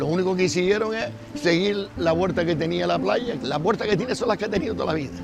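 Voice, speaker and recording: Over music in the background, a man talks very fast in a high voice, with audible room echo. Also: lively intonation. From Canary Islands, Las Palmas de Gran Canaria. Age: 80s+. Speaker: local resident interviewee. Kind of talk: interview testimony.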